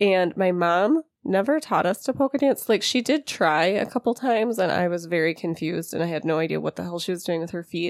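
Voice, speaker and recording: With a Wisconsin accent, a woman of fairly low pitch talks at a fairly quick pace with lively intonation and hardly any pauses, in a dry, close sound with no echo on a very clean recording with a silent background. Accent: Upper Midwest (Wisconsin). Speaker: podcast co-host. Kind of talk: casual chat.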